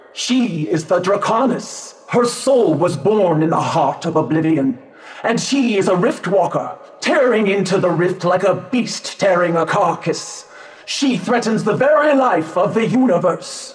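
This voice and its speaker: Over light background noise, a man does a put-on character voice at a high pitch and a moderate pace. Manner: solemn, mystical, measured.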